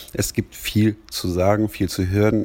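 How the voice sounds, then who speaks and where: With a dark, mellow tone, a man speaks at a very deep, low pitch with fairly even intonation. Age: 40s. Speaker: wrestling podcast host. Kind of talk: solo podcast monologue.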